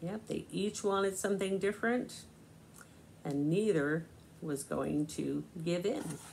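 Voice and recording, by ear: Her slightly mellow voice, fairly low in pitch with vocal fry, moves slowly and shows ordinary pitch variation.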